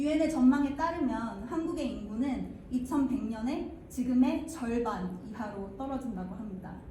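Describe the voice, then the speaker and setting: A woman speaks at a fairly slow pace in a high voice. Audible room echo surrounds her. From overseas Korean diaspora. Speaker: research professor. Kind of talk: conference presentation. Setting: conference stage with audience. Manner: formal.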